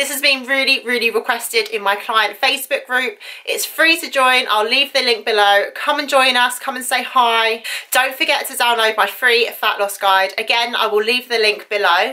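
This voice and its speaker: A woman talks at a moderate pace in a high voice with ordinary pitch variation. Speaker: fitness vlogger. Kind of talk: casual vlog chat. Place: home room. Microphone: phone near.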